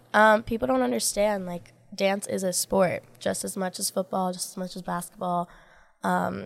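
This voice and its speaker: Ordinary pitch variation marks a woman's normal speaking voice, medium in pitch at a moderate pace, in a very clean recording with a silent background. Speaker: dancer and model. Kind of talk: casual chat.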